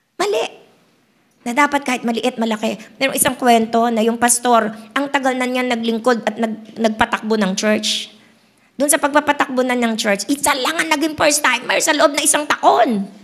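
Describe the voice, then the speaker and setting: Her voice is high, with ordinary pitch variation. This woman keeps a moderate pace. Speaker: pastor. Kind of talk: sermon.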